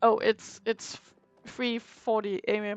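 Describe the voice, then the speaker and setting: A woman speaks at a fairly high pitch. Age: 20s. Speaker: streamer and school teacher. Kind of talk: casual chat during gameplay stream. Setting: live stream.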